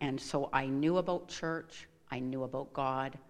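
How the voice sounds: A woman at a fairly slow pace with fairly even intonation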